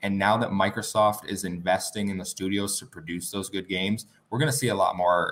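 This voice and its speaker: A man speaks at a fairly quick pace in a plain, everyday voice with fairly low pitch. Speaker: podcaster, Xbox fan. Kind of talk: casual interview chat.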